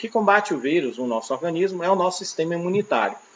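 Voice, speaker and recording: A man with a high pitch talks at a very fast pace. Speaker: teacher. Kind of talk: lecture.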